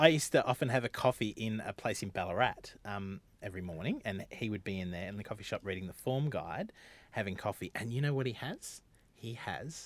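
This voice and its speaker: A man with an Australian accent, lively intonation and a moderate pace, on a very clean recording with a silent background. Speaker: podcast host. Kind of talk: comedic casual chat. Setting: studio.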